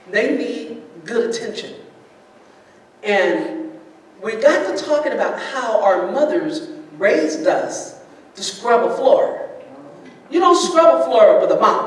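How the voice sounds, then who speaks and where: The speaker has an American accent and talks at a very slow pace with long, frequent pauses. Noticeable background noise runs underneath. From US Midwest, Cincinnati, Ohio. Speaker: pastor. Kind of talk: personal testimony talk to an audience. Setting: church event with live audience. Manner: loud, animated.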